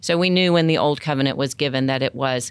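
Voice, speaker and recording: A woman's very deep, low voice with an American accent, ordinary pitch variation, and a dry, close sound with no echo. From US South. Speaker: women's ministry Bible teacher. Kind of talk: Bible study discussion.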